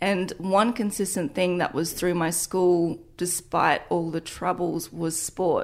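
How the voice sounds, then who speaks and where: A woman with an Australian accent speaks at a very slow pace with hardly any pauses and fairly even intonation. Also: fairly low pitch for a woman. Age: 20s. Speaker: fitness entrepreneur and influencer. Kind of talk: interview testimony.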